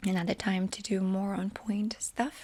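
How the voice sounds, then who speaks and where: A woman talks with a fairly high pitch and a somewhat breathy voice. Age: 30s. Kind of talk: casual talk to camera.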